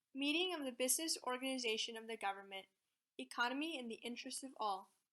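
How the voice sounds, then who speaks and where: A woman with an ordinary speaking voice talks at a fairly quick pace. Her pitch varies in an ordinary way. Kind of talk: speech read aloud, declamation.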